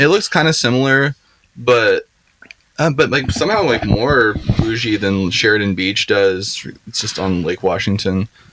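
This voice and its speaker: A man with an American accent and an unremarkable speaking voice talks at a moderate pace in a medium pitch with lively intonation. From Seattle area, US Pacific Northwest. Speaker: podcast guest, social media poster. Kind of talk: casual chat. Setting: on a boat.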